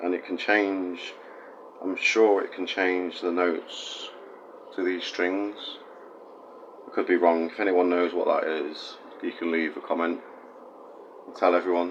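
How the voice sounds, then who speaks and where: A man's very deep, low voice in a flat monotone, fairly slow with long, frequent pauses, over light background noise. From West Midlands, England. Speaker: guitar builder. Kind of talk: casual talk to camera. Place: workshop.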